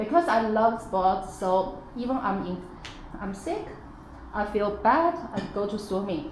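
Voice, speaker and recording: Speaking with a Chinese accent, a woman at medium pitch uses lively intonation at a fairly slow pace, with audible room echo and noticeable background noise. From China. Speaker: parent, former athlete. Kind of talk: workshop discussion. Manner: hesitant, with fillers.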